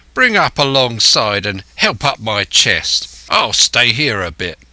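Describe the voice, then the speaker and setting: Using a put-on character voice, a man talks raspily at a fairly slow pace and a medium pitch. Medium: read story. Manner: rough, coarse, commanding.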